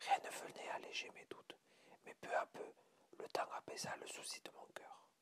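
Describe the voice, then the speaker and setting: Whispering at a fairly slow pace, the voice leaves long, frequent pauses. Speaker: ASMR reader. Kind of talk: ASMR short story reading. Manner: whispered.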